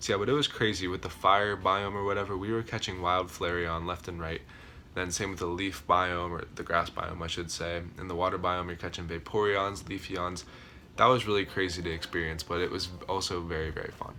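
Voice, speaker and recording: A man talks at a fairly quick pace. His voice is very deep and low, with a bright, sharp tone. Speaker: gaming YouTuber. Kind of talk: casual video commentary. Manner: fast; enthusiastic.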